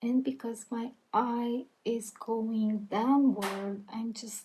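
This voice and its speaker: A woman with a non-native accent speaking at a very slow pace. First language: not English. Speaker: beauty content creator. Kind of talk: makeup tutorial voiceover. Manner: friendly, casual.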